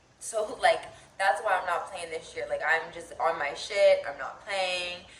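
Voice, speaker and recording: The room echo is audible around this woman. She speaks fairly slowly at a fairly low pitch. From Pennsylvania, Philadelphia area. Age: 20s. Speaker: lifestyle vlogger. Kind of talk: casual chat. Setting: at home.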